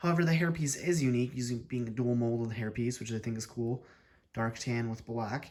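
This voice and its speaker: A man's voice at a fairly quick pace, with ordinary pitch variation. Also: medium pitch for a man. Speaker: toy reviewer. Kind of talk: product review. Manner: energetic, with filler words.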